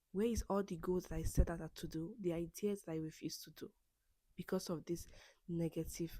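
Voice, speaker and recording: A woman with a non-native accent speaks at a fairly low pitch in a dark, mellow tone, her intonation fairly even. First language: not English. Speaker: self-help podcast host. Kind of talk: personal monologue. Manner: halting, with self-corrections and repeats.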